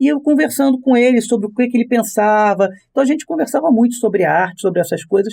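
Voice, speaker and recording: A man talks at a very fast pace with ordinary pitch variation. His loudness stays very even throughout. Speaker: voice actor and dubbing director. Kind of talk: podcast interview.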